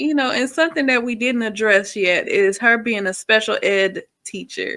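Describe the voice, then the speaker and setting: A woman's fairly high voice with lively intonation and a bright, sharp tone. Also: moderate pace. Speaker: reaction commentator. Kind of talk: casual chat.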